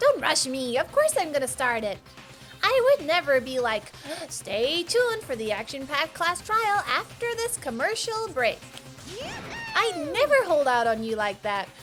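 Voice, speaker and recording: Doing a put-on character voice, a woman talks at a moderate pace and high pitch with very wide pitch swings, while clear music plays in the background. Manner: playful, teasing.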